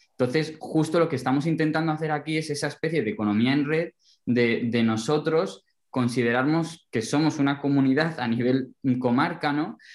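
A man with a fairly high pitch, ordinary pitch variation and a moderate pace, an unremarkable speaking voice. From Alto Tajo, central Spain. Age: young. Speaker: rural development volunteer. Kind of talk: casual chat.

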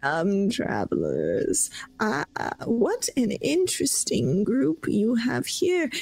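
A put-on character voice, female-sounding and fairly high for a woman, at a very slow pace. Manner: knowing, mysterious, cackling.

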